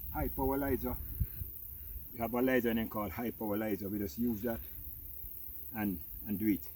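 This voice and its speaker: With a Jamaican accent, a man talks at a fairly quick pace in a fairly low, dark, mellow voice, with lively intonation and long, frequent pauses. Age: 70s. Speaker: farmer. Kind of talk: casual chat.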